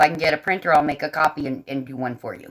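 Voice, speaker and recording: Talking at a very fast pace, a woman with an American accent has a very deep, low pitch. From US South, Nashville. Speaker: artist and colorist livestreamer. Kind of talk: casual livestream chat while coloring. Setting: livestream.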